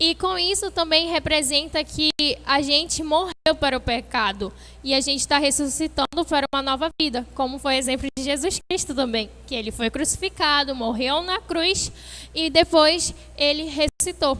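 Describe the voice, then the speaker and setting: A woman speaks in a raised, projected voice with a high pitch and a bright, sharp tone. She keeps a moderate pace and ordinary pitch variation. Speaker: youth preacher. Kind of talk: sermon. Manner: halting.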